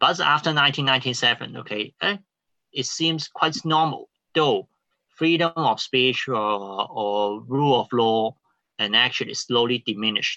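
In a dry, close sound with no echo, a man with a Cantonese accent speaks at a fairly slow pace. His tone is bright and sharp, at medium pitch with ordinary pitch variation. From Hong Kong. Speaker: playwright. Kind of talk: interview. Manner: halting.

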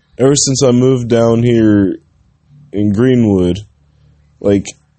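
A man with a normal speaking voice talks at a fairly slow pace with fairly even intonation. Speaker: podcast host. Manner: casual, rambling.

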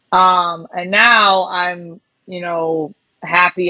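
A woman's fairly low-pitched voice. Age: 20s. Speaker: pro wrestler. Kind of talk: casual interview. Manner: hesitant, many fillers.

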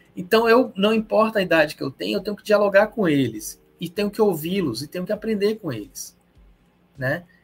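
Lively intonation from a man with a high pitch, fairly quick pace, and music in the background. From Ceará, Brazil. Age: 40s. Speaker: comic book artist and teacher. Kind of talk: interview.

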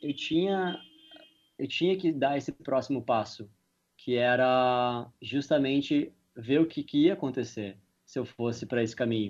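A man with a plain, everyday voice and medium pitch speaks at a fairly slow pace, showing ordinary pitch variation. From southern Brazil, Porto Alegre. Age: 30s. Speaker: coliving company founder, entrepreneur. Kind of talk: radio interview.

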